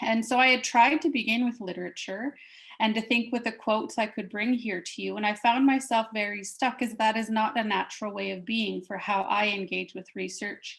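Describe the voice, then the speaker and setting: Her pace fairly quick, the woman talks in a fairly high voice. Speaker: professor. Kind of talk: academic presentation. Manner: halting.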